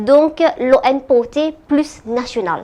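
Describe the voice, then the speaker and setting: A woman speaks with ordinary pitch variation. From Madagascar. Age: 30s. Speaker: politician. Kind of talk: interview. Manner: halting, many hesitations.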